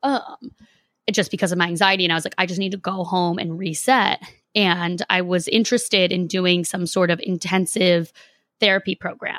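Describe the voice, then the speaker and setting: A woman of medium pitch, an ordinary speaking voice, talks at a moderate pace with an American accent and fairly even intonation. The recording is very clean and dry, close with no echo and a silent background. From Boston, Massachusetts. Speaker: podcast host. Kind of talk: interview.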